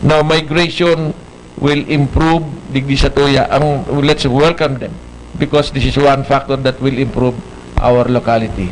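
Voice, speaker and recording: A man talks with fairly even intonation. Noticeable background noise runs underneath. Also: fairly high pitch for a man, moderate pace. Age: 70s. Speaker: local politician. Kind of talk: TV interview.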